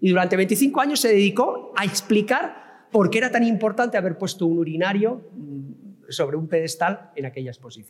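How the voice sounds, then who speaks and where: A man's high voice with lively intonation at a moderate pace. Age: 60s. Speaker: professor and digital art expert. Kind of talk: lecture.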